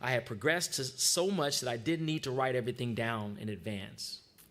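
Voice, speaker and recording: With an American accent, a man talks at a moderate pace and medium pitch. His intonation is lively. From US West Coast, Long Beach, California. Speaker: freestyle rapper giving a talk. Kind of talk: sermon-style personal talk at church service. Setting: church service. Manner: hesitant fillers (um, uh).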